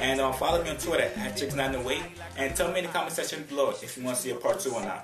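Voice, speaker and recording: A man at a very fast pace over clear music in the background. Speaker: vlogger. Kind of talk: casual vlog outro. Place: home room. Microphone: webcam.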